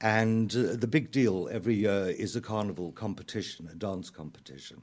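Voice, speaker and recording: A man with a South African accent talks at a fairly quick pace and a fairly low pitch. The recording is very clean, with a silent background. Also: ordinary pitch variation. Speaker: playwright and lyricist. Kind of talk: radio interview. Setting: radio studio.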